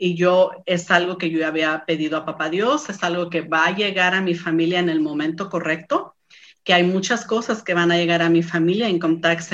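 A woman speaks with a fairly low pitch at a moderate pace. Her intonation is fairly even. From Mexico, San Luis Potosí. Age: 40s. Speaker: small business owner. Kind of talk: interview testimony. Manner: halting, many fillers.

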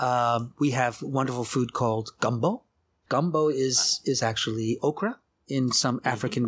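The speaker is a man at medium pitch. He has a plain, everyday voice. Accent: American. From US South, New Orleans. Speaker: architecture researcher and author. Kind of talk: interview conversation.

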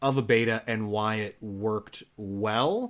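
A man with an American accent uses a plain, everyday voice at a medium pitch and fairly slow pace, with ordinary pitch variation, in a very clean recording with a silent background. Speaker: podcast host. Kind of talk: casual chat, podcast. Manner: friendly, upbeat.

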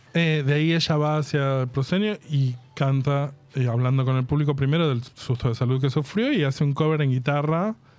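A man with a Rioplatense accent speaks at a fairly quick pace and a fairly high pitch, with ordinary pitch variation. His loudness stays very even, and the recording is very clean with a silent background. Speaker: podcast host. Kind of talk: casual chat.

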